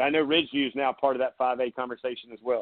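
This man talks at a fairly quick pace. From South Carolina coast (Myrtle Beach). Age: 40s. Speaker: sports radio host. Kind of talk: live sports talk radio. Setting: studio. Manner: animated.

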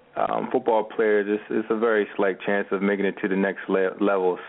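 American accent at a moderate pace, with noticeable background noise. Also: man, very even loudness. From US Northeast (Camden, New Jersey, near Philadelphia). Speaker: automotive media entrepreneur, former college football player. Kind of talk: radio interview.

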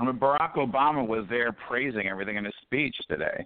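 A man with an American accent and a plain, everyday voice, medium pitch, ordinary pitch variation and a fairly quick pace. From Detroit. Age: 50s. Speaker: author and entrepreneur. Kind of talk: casual chat. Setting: phone call.

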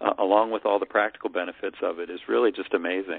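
A man speaks in a fairly low voice. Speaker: guest co-host. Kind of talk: political discussion. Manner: calm.

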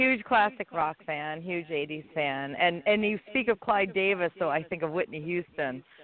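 A woman's fairly low pitch at a fairly slow pace, with few pauses

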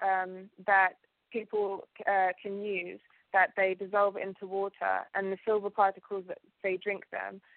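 A woman's medium-pitched, monotone, flat voice with a British accent, at a fairly slow pace. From UK, Ugandan family. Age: 20s. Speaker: alchemist and TV presenter. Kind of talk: interview.

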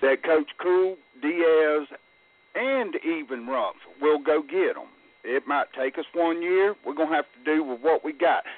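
This man has a plain, everyday voice with a fairly high pitch and ordinary pitch variation. He talks at a fairly slow pace. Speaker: caller, football fan. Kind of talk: call-in sports talk. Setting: phone call.

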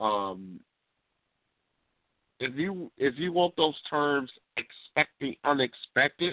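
In a dry, close sound with no echo, a man speaks at a slow pace. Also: medium pitch for a man, lively intonation.

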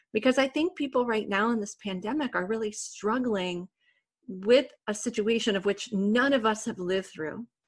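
Against a quiet background, a woman speaks at a moderate pace in a fairly high pitch, somewhat breathy, with ordinary pitch variation. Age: 40s. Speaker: wellness podcast host. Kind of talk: interview.

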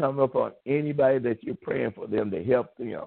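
With a plain, everyday voice, a man speaks at a moderate pace in a fairly high pitch, his pitch varying in an ordinary way. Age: 60s. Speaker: pastor. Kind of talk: sermon. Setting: phone call.

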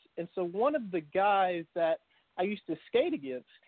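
Using a high pitch, a man talks at a moderate pace. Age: 30s. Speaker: bodybuilder and petroleum engineer. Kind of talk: podcast interview.

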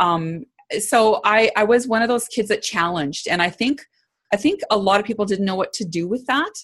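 This woman has an ordinary speaking voice, fairly high in pitch, with a Canadian accent. Her intonation is lively, her pace moderate, and the background quiet. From Canada, small town in Alberta. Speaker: leadership consultant. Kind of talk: interview conversation.

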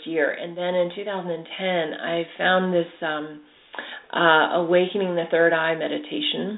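A woman with fairly low pitch, fairly even intonation and a fairly slow pace, over noticeable background noise. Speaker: animal communicator. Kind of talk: casual interview chat.

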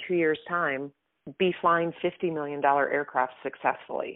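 In an American accent, a woman with fairly low pitch uses a plain, everyday voice at a fairly slow pace. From US Midwest. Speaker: former fighter pilot and author. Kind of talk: interview.

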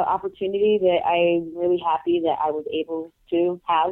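A woman of medium pitch in a Puerto Rican accent, at a moderate pace. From Puerto Rico. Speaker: professional wrestler. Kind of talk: interview. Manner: hesitant with many fillers.

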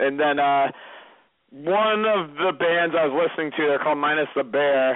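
A man with an American accent at a moderate pace, fairly high-pitched, very even in loudness, ordinary pitch variation, an ordinary speaking voice. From Massachusetts. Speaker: reality TV contestant. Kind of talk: casual interview.

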